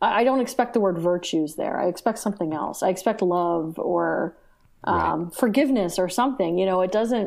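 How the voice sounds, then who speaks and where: A woman with an American accent speaks with vocal fry. The recording is very clean, with a silent background. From United States. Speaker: theology professor. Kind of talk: casual chat. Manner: halting.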